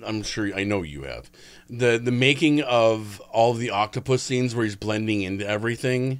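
On a very clean recording with a silent background, a man speaks at a moderate pace. His pitch varies in an ordinary way. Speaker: podcast co-host. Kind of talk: casual chat. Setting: studio. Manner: loud.

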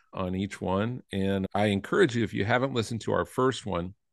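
At a fairly quick pace, a man talks in an ordinary speaking voice, fairly low in pitch with ordinary pitch variation, over a quiet background. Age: 50s. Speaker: podcast co-host. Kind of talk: casual chat.

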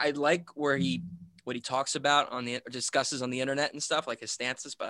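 A man's very fast speech with vocal fry and a bright, sharp tone. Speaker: drummer and bandleader. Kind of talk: casual chat. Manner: casual, laughs often.

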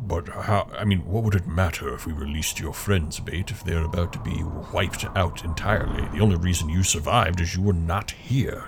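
Over clear background noise, a man does a put-on character voice, very deep and low, at a fairly quick pace with hardly any pauses. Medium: actual play. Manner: blunt, questioning.

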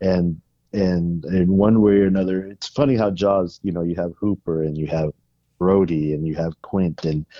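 A man with an American accent speaks at a moderate pace in a low pitch. His intonation is fairly even, and the sound is dry and close with no echo.

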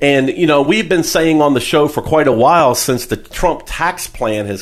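A man speaks in a plain, everyday voice at a fairly high pitch. His intonation is lively. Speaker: financial advisor and radio show host. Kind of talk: radio talk show interview.

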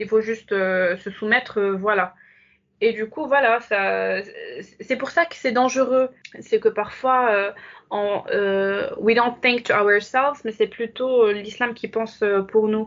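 A woman's fairly high voice at a very slow pace, with long, frequent pauses and fairly even intonation. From Morocco. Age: 20s. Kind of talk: testimony. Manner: hesitant.

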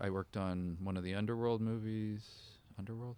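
A plain, everyday voice: a man with a Canadian accent, fairly low pitch, fairly even intonation and a fairly quick pace, on a very clean recording with a silent background. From northern British Columbia, Canada. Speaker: film director and makeup effects artist. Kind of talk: interview.

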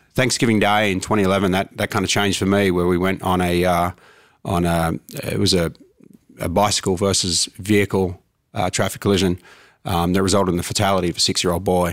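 A man speaks fairly quickly at a very deep, low pitch, his intonation flat and monotone and his loudness very even. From Australia. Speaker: fire chief. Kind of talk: interview.

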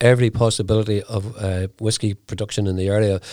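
In a Northern Irish accent, a speaker with a dark, mellow tone talks at a fairly quick pace with fairly even intonation on a very clean recording with a silent background. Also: man. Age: 70s. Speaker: whiskey company founder. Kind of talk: interview. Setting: studio.

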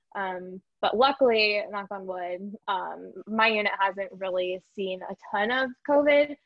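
In an ordinary speaking voice of medium pitch, a woman talks at a fairly slow pace with hardly any pauses and ordinary pitch variation. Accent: American. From Iowa, US Midwest. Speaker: neonatal physician assistant. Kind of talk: casual interview.

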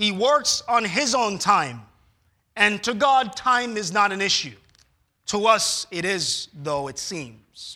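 Raised and projected, a man's high-pitched, bright, sharp voice moves very slowly with lively intonation. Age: 30s. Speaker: pastor. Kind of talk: sermon. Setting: church.

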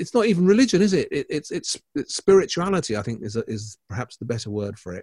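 The pitch swings very widely in this somewhat breathy voice, which keeps a fairly quick pace. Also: man, dry, close sound with no echo. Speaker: art critic and podcast co-host. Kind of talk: casual chat.

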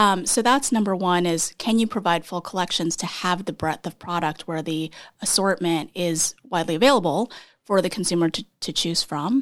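On a very clean recording with a silent background, a woman with an ordinary speaking voice talks at a fairly low pitch and a moderate pace with ordinary pitch variation. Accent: American. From Texas. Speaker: startup CEO. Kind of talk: interview.

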